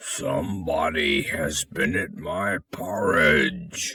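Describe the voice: Putting on a character voice, a man speaks very slowly with a very deep, low pitch that sounds raspy and gruff.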